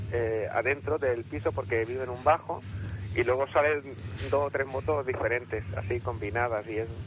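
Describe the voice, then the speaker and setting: Here is a plain, everyday voice from a man of medium pitch. He speaks at a moderate pace with ordinary pitch variation. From Catalonia. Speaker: radio caller. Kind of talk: phone-in anecdote.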